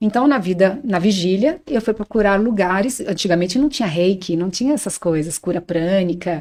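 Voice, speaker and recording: In a normal speaking voice at medium pitch, a woman talks at a moderate pace on a very clean recording with a silent background. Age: 60s. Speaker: spiritual teacher on astral projection and bioenergy. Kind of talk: podcast interview, personal testimony.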